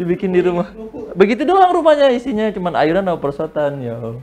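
Over light background noise, a man talks at a very fast pace in an animated tone with very wide pitch swings. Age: 20s. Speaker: open mic stand-up comedian. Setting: stage with audience. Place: studio.

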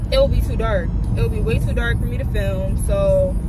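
A woman's voice, dry with no echo, with music in the background. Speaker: vlogger. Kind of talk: casual vlog chat. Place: car. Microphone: phone near.

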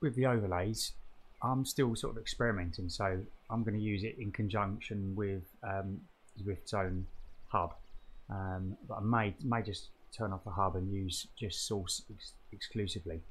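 Fairly low in pitch and somewhat breathy, a man speaks at a moderate pace with fairly even intonation. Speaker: hobby cyclist demonstrating software. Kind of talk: tutorial. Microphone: webcam.

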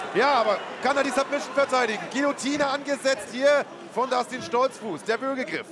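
Over noticeable background noise, a man with an extremely high pitch talks at a fairly quick pace in an animated tone with ordinary pitch variation. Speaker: MMA commentator. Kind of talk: live sports commentary of a fight, excited play-by-play. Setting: studio or ringside commentary over fight footage. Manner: animated, fast, excitable, rising in pitch at knockdowns and the knockout.

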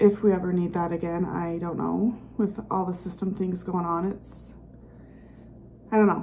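A woman's voice comes across as somewhat breathy, with monotone, flat intonation. Light background noise can be heard. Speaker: home vlogger. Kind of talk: casual vlog chat. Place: home room. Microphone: phone near.

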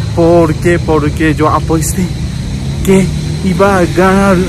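Heard through loud background noise with a dry, echo-free sound, a man speaks at a very slow pace. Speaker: vlogger. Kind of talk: casual vlog chat. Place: street. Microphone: phone near.

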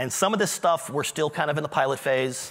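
A man's voice with vocal fry. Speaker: conference presenter. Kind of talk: lecture. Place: stage.

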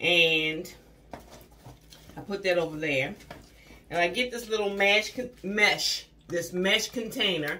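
Over light background noise, a woman speaks very slowly with ordinary pitch variation. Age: 50s. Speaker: beauty vlogger. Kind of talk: product haul review. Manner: chatty, conversational. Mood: cheerful, chatty. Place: bathroom. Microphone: phone near.

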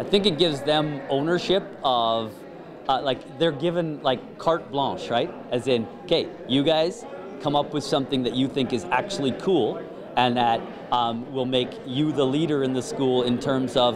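Noticeable background noise sits under a man speaking at a moderate pace with ordinary pitch variation. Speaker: event emcee. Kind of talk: interview answer. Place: hall. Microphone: handheld.

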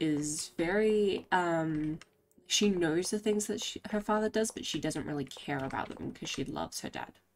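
A woman talks slowly in a low pitch. Her pitch varies in an ordinary way.

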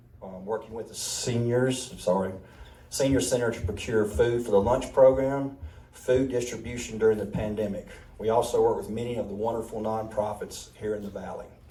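A man with a Mississippi accent speaks at a medium pitch and a fairly quick pace. His intonation stays fairly even while his loudness swings widely, with audible room echo. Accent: Mississippi Southern. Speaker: county commissioner candidate, restaurant owner. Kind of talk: candidate forum speech.

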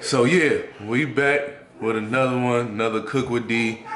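A man speaks. Crowd noise fills the background. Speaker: father vlogger. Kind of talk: casual vlog chat. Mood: relaxed and cheerful. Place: kitchen. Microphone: phone near.

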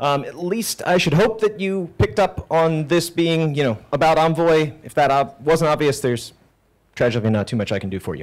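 Someone talks at a fairly quick pace against a quiet background. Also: man. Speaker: software architect. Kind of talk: conference talk. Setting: stage with audience. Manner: unconventional cadence. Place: hall. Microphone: handheld.

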